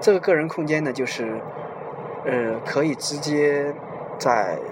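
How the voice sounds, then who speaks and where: At a fairly slow pace and with ordinary pitch variation, a man speaks amid noticeable background noise and audible room echo. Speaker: podcast host. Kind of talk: monologue talk. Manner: slower than his usual speech.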